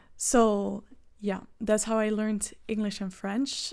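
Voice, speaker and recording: A woman with a Flemish Belgian accent speaks at a fairly slow pace. Her tone is dark and mellow, her intonation monotone and flat. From Belgium (Flemish). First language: Dutch. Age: 20s. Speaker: vlogger. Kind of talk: casual vlog talk to camera.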